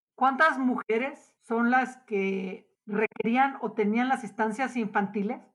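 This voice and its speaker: A woman with a fairly high pitch talks at a very slow pace, with hardly any pauses. Her intonation is fairly even. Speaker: podcast host. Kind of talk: interview conversation.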